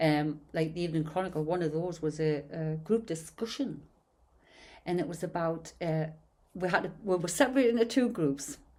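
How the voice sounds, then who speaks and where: A woman with a Geordie accent speaks at a moderate pace in a dark, mellow tone, her fairly low pitch showing ordinary variation. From northern England, Newcastle/Gateshead. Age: 60s. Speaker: podcast host. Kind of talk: casual chat.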